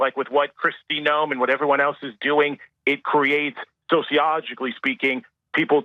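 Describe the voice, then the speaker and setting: A man's normal speaking voice, fairly high in pitch, with an American accent, at a fairly quick pace. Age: 30s. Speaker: caller. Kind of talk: radio call-in.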